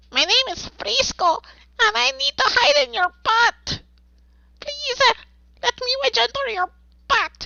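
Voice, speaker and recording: Putting on a character voice, a woman speaks at an extremely high pitch with very wide pitch swings. Her pace is fairly slow, broken by long, frequent pauses. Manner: small, pleading, comical.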